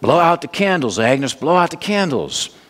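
Putting on a gruff character voice, a man mumbles at a moderate pace, pitched high, with lively intonation. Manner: gruff, mumbling.

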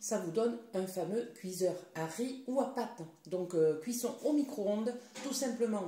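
A woman talks very slowly, her voice carrying audible echo from the room. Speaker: product demonstrator. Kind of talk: tutorial. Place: kitchen. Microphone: phone near.

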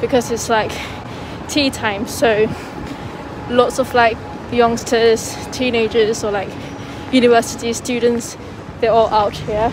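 Over noticeable background noise, a woman speaks in a flat monotone with a dry sound and no echo. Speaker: student vlogger. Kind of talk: casual vlog chat. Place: street. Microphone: phone near.

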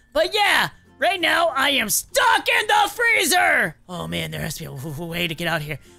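A put-on character voice at a moderate pace, faint music playing in the background. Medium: role play. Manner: panicky, stammering.

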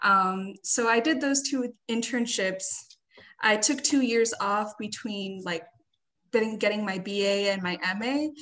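A woman speaks at a medium pitch with a bright, sharp tone. Her pitch varies in an ordinary way. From Riverside, California; California. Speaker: graduate student; panelist. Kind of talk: panel discussion. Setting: video call. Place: home room. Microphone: webcam.

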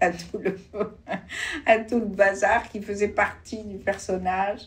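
A woman speaks at medium pitch and a very slow pace, her intonation monotone and flat. Her loudness swings widely. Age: 70s. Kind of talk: interview answer.

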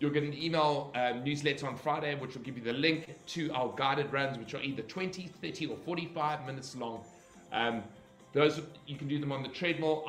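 Backed by faint music and audible room echo, a man talks at a fairly quick pace with fairly even intonation. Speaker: fitness instructor. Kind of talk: livestream announcements to class. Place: home room. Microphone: webcam.

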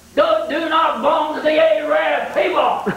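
Light background noise sits under the voice, and the room echo is audible. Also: man. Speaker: preacher. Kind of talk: revival sermon. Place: church.

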